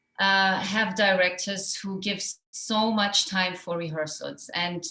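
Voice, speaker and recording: A woman with a German accent, fairly slow pace and fairly even intonation. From Iran and Germany. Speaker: actress. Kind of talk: festival Q&A. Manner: halting.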